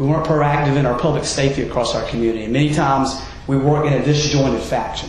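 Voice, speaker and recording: A man at a fairly high pitch and a very fast pace, with audible room echo and noticeable background noise. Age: 40s. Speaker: mayoral candidate. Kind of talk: political debate.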